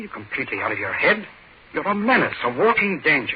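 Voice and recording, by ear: A man puts on a character voice with a husky, rough edge and a fairly high pitch. He talks at a fast pace with big pitch swings.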